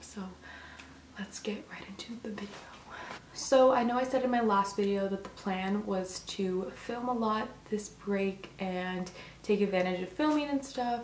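With light background noise and audible room echo, the loudness swings widely throughout. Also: woman, medium pitch for a woman, ordinary pitch variation, fairly slow pace. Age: young. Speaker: vlogger. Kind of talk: casual talk to camera. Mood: earnest, slightly concerned. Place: home room. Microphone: camera far.

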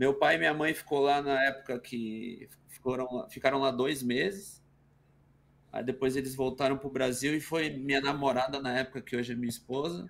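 A man's medium-pitched voice at a moderate pace, ordinary pitch variation, a plain, everyday voice. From Brazil, São Paulo ABC region (Santo André). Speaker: retired footballer and streamer. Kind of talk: casual chat. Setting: video call.

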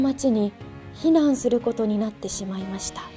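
Faint music plays in the background. Over it, a woman speaks with ordinary pitch variation. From Fukushima, Japan. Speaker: TV announcer. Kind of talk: picture book reading. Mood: gentle, somber. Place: hall.

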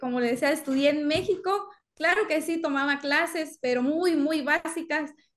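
In a Mexican accent, a woman with a high pitch talks at a moderate pace against a quiet background. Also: ordinary pitch variation. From Mexico. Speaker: dentist. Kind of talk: casual conversation. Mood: warm, smiling. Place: home room.

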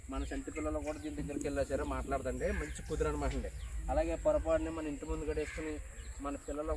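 A man's voice sounds dry, with no echo. Loud background noise runs behind him. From East Godavari, Andhra Pradesh; Andhra Pradesh. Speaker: cattle farmer and seller; seller. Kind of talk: sales pitch. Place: farm.

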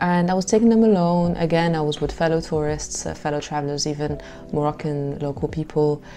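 Over light background noise, a woman talks at a fairly quick pace in a very deep, low voice. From Morocco. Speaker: travel vlogger. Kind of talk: travel vlog monologue. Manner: animated. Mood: warm, upbeat. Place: home room. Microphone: lapel.

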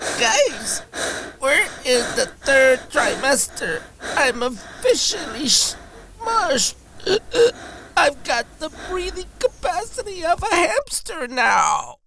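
A cartoonish character voice talks at a very slow pace and an extremely high pitch. It swings very widely in pitch. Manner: sarcastic, exasperated.

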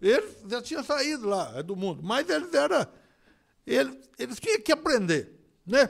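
A man with a high pitch speaks at a moderate pace against a quiet background. His tone is animated, with very wide pitch swings. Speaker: preacher. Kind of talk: sermon, preacher in full flow. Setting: church. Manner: animated, repeating phrases and interjecting 'olha só'; rhythmic, emphatic, conversational delivery with frequent stumbles and repeated words. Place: church. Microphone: podium.

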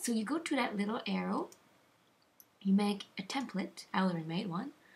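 A woman speaks at a medium pitch, her voice somewhat breathy. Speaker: video editing tutorial maker. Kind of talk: software tutorial voice-over. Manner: halting, lagging.

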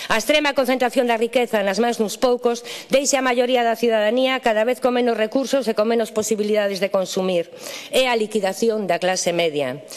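A woman with a fairly high pitch speaks at a very fast pace with ordinary pitch variation. Her loudness stays very even despite noticeable background noise. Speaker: politician. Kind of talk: parliamentary speech. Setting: parliament chamber. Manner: formal.

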